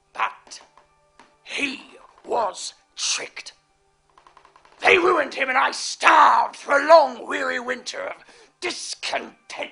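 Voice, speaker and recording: Over faint background music, a high put-on character voice moves at a fairly slow pace with long, frequent pauses. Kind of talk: theatrical monologue. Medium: stage play. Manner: sly, relishing.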